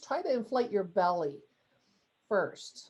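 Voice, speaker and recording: A woman with an American accent has a fairly high pitch and a dark, mellow tone. She talks at a moderate pace with lively intonation. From Texas. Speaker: coach and workshop leader. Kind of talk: workshop talk with guided breathing. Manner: calm, guiding.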